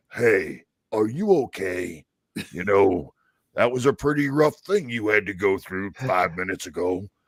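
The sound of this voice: A man's gruff put-on character voice, fairly low in pitch, at a moderate pace.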